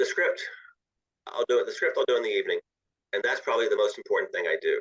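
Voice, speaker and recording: A man with an American accent talks very fast at an extremely high pitch with monotone, flat intonation, and the sound is dry and close with no echo. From US South. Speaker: author. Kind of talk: interview.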